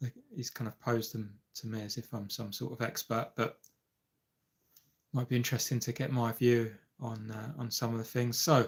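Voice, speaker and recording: Speaking at a moderate pace with long, frequent pauses, a man with a medium-pitched, somewhat breathy voice keeps his intonation monotone and flat. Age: 50s. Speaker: amateur golfer and YouTube live streamer. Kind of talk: casual live-stream chat. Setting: live stream. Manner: hesitant, many fillers.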